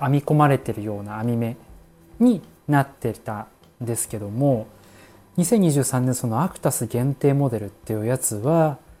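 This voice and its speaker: Over music in the background, a man at medium pitch speaks at a moderate pace with ordinary pitch variation and big swings in loudness. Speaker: office worker podcaster. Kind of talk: casual solo talk. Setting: home kitchen, wrapping dumplings.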